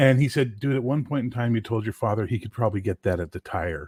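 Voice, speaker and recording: Male speech with lively intonation in a dry, close sound with no echo. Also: very clean recording, silent background. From Canada, Gaspé region of eastern Quebec, anglophone maritime community. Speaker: livestream host. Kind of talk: casual chat. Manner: articulate, well-spoken.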